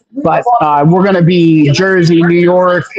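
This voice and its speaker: The speaker has an American accent, with noticeable background noise. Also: man. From Pennsylvania. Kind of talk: podcast interview. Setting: live stream.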